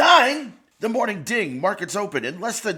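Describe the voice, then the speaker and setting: A man's put-on character voice, raised and projected, high-pitched with very wide pitch swings. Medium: read story. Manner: arrogant, impatient.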